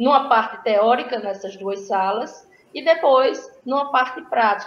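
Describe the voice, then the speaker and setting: Using an ordinary speaking voice, a woman talks at a fairly slow pace with fairly high pitch and ordinary pitch variation. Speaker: school director and environmental educator. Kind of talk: conference talk.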